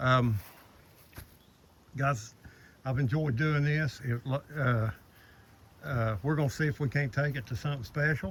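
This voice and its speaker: Speaking at a fairly slow pace with long, frequent pauses, a man uses a medium pitch, ordinary pitch variation and a somewhat breathy voice. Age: 60s. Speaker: DIY builder vlogger. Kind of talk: casual video walkthrough. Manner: halting, many fillers.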